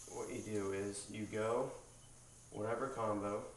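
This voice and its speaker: Amid light background noise and audible room echo, a man speaks in a fairly low voice with monotone, flat intonation. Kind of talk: tutorial. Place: home room. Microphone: camera far.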